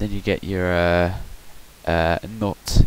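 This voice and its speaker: A man speaks with a very deep, low pitch. Noticeable background noise is heard throughout. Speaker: gaming youtuber. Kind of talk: tutorial. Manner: soft-spoken; halting.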